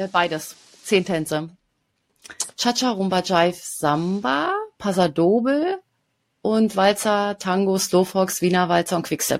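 Speaking at a very slow pace with long, frequent pauses, a woman holds a very even loudness at a medium pitch with ordinary pitch variation. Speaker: podcast host, pattern designer. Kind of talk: casual chat.

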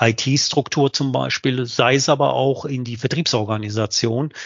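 Flat and monotone, this man's voice sits at a medium pitch. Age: 50s. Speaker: sales director. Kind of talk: interview. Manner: halting.

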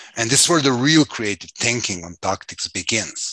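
Against a quiet background, a man's medium-pitched voice sounds bright and sharp, with lively intonation and a dry, close sound with no echo. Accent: Serbian. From Serbia, Belgrade. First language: Serbian. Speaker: activist trainer and consultant. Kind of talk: interview.

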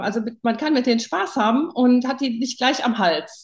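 A woman speaks in a fairly high voice with ordinary pitch variation over a quiet background. She has an unremarkable speaking voice. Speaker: interview guest. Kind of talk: casual chat.

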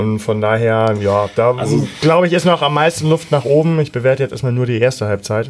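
Noticeable background noise sits under a man's voice. He speaks at a moderate pace and medium pitch with ordinary pitch variation. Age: 40s. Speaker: football fan podcaster. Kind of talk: casual chat.

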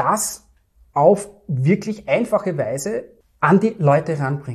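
Slowly, very slowly, a man with a high voice speaks in a Viennese accent. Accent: Viennese Austrian German. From Austria, Vienna. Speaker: entrepreneur and trading client. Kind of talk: interview.

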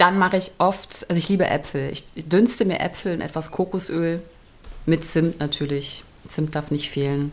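An unremarkable speaking voice from a woman, fairly low in pitch, with ordinary pitch variation at a moderate pace. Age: 40s. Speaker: actress and podcast co-host. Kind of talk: casual chat. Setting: recording together in a room overlooking the cathedral.

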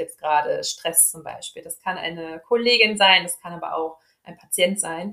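Talking at a moderate speed, a woman uses an unremarkable speaking voice at a mid-range pitch that shifts in an ordinary way. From Ruhr area, Germany (Dortmund). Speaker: speech therapist and team coach. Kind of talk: interview.

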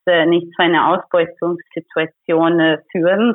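In a Hungarian accent, a woman speaks very slowly at a fairly low pitch, her intonation monotone and flat. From Hungary. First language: Hungarian (speaking German). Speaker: labour activist. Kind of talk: interview. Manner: hesitant, many fillers.

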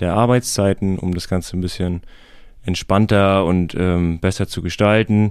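A man's very deep, low voice with fairly even intonation, in a very clean recording with a silent background. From Schleswig-Holstein, Heikendorf near Kiel. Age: 30s. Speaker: master electrician. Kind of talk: interview. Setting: studio.

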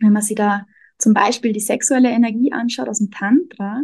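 In a dry, close recording with no echo, a woman's somewhat breathy, fairly high voice moves at a moderate pace with fairly even intonation. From Austria. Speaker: energy worker and self-discovery coach. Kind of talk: interview.

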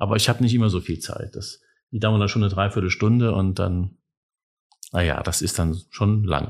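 A man speaks at a moderate pace with a fairly low pitch and fairly even intonation, leaving long, frequent pauses. His voice is somewhat breathy, and the recording is very clean with a silent background. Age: 50s. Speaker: civic education officer. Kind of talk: interview.

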